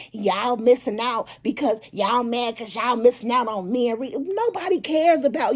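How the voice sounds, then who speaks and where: A woman speaks high-pitched and animated at a moderate pace. Noticeable background noise is present. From US Midwest, Chicago. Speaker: YouTuber commentator. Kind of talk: casual commentary vlog.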